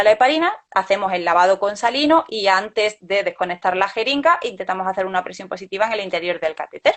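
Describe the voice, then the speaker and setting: Her pace is fairly quick. This woman's pitch moves in an ordinary way. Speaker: vascular access nurse. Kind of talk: webinar lecture. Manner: fast.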